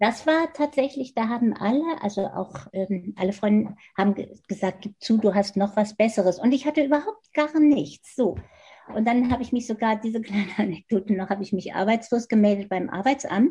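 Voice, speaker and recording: A woman's somewhat breathy voice with a dark, mellow tone, fairly high pitch, ordinary pitch variation and a moderate pace. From Germany, Hannover. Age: 70s. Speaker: design professor. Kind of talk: interview.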